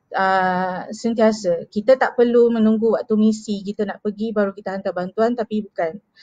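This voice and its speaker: A woman with a somewhat breathy, dark, mellow tone speaks at a fairly slow pace in a monotone, flat intonation against a quiet background. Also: dry sound with no echo. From Malaysia, Kuching, Sarawak; Sarawak, Malaysia. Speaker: charity marketing executive. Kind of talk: live stream storytelling. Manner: hesitant, many fillers. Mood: earnest, reflective. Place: home room. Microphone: headset.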